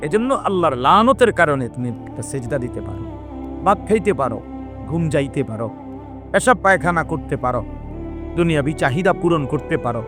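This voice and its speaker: A man's fairly high-pitched voice with very wide pitch swings, music in the background. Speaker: Islamic preacher / scholar. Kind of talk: Islamic sermon (waz). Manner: passionate, rhetorical, preaching.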